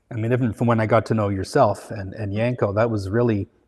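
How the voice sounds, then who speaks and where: Somewhat breathy speech in a Canadian accent, fairly quick, with fairly even intonation. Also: man. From Canada (Vancouver). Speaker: materials designer, company founder. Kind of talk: interview.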